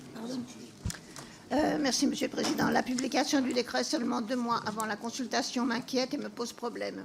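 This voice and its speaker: Over noticeable background noise, a woman with a high pitch talks at a fairly quick pace with fairly even intonation. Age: 70s. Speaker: member of parliament. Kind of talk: parliamentary speech.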